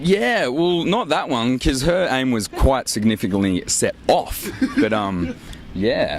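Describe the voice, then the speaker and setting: With an Australian accent, a man talks at a very slow pace with very wide pitch swings over noticeable background noise. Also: medium pitch for a man. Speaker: rock band member. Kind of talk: casual interview. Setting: outdoors at an airport show.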